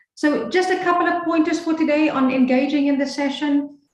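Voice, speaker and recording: This is a woman speaking. Audible room echo surrounds her voice. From Namibia. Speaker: leadership coach. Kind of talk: webinar presentation. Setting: video call.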